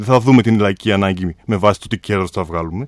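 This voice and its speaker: At a fairly quick pace, a man talks over a quiet background, the sound dry with no echo. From Greece. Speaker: mayoral candidate. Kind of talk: radio interview. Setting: radio studio. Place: hall. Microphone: podium.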